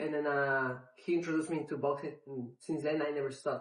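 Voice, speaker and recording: Someone talks at a fairly quick pace with a Spanish accent. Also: man. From Mexico City, Mexico. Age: 30s. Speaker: MMA fighter. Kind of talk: interview. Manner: halting, many fillers.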